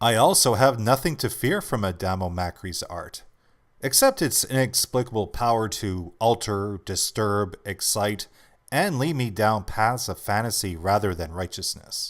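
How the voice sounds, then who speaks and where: At a fairly slow pace, a man with a plain, everyday voice and fairly low pitch speaks with ordinary pitch variation on a very clean recording with a silent background. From Canada. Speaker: voice actor. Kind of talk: audiobook essay narration.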